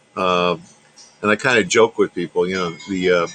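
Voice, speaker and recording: A man talks at a moderate pace with a New York accent. There is noticeable background noise. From New York, Long Island. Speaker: radio technician, ham radio operator. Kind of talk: casual chat. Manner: halting, many fillers.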